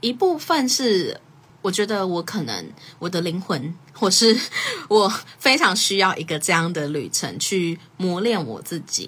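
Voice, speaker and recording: Her intonation lively, a woman speaks at medium pitch and a fairly slow pace. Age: 20s. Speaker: podcast host. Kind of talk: casual solo talk on a livestream. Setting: social media livestream.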